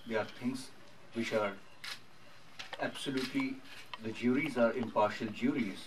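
Noticeable background noise sits behind a man speaking at a moderate pace. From India. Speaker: documentary filmmaker. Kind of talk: press conference. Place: hall. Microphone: podium.

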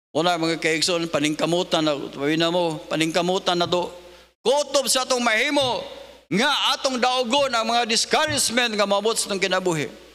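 A raised, projected male voice, bright and sharp in tone, lively in intonation, at a moderate pace. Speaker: preacher. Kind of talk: sermon. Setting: church. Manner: emphatic pulpit delivery, repeating verses and asking 'Amen?'. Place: church. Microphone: podium.

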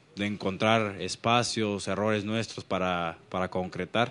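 With fairly even intonation, a man talks at a very slow pace in a fairly low pitch. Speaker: football player or coach. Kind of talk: interview answer. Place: hall. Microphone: handheld.

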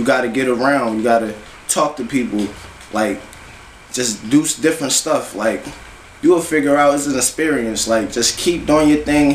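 Over light background noise and audible room echo, a man at a medium pitch speaks at a moderate pace with long, frequent pauses. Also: ordinary pitch variation. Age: 20s. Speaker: rapper; interviewee. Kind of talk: interview. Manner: casual, filler-heavy. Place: home room. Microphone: camera far.

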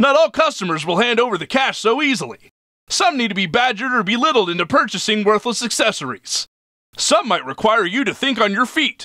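This man uses a raised, projected voice at an extremely high pitch, speaking at a fairly quick pace with lively intonation. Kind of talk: instructional corporate video narration. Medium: machinima. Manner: bright, bland, cheerfully cynical.

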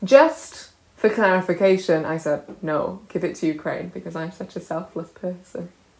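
A woman with a South Wales accent talks at a moderate pace, her pitch fairly low with ordinary variation. Her loudness swings widely. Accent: South Wales valleys. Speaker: comedian. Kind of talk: casual chat.

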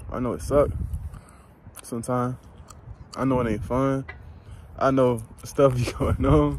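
At a fairly slow pace, a man with a medium pitch and ordinary pitch variation speaks with long, frequent pauses, the sound dry with no echo and some light background noise. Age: 20s. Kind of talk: informal devotional talk. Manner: casual, frequent laughing. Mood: reflective, encouraging. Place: open country. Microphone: phone near.

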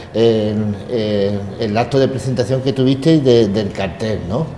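Amid noticeable background noise and audible room echo, a man talks at a fairly slow pace, his pitch medium and his intonation fairly even. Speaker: TV host of a religious brotherhood news program. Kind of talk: interview. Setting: inside a church. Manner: halting, many repetitions.

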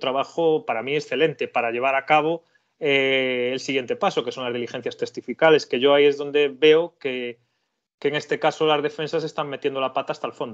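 A man with a fairly high pitch speaks at a moderate pace with fairly even intonation in a normal speaking voice against a quiet background. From Spain, Galicia (Carballiño). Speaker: criminal lawyer. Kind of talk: legal explanation in interview.

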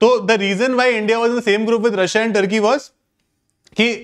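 Against a quiet background, a man speaks at a moderate pace. His pitch is high, with fairly even intonation. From India. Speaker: exam prep teacher. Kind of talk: online class lecture. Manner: code-switching Hindi and English. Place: classroom.

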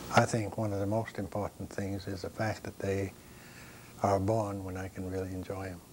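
A man speaks at a fairly low pitch, somewhat breathy, in a monotone, flat intonation. Light background noise sits underneath. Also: moderate pace. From Maine, Passamaquoddy reservation. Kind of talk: interview. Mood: calm, reflective, proud. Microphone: lapel.

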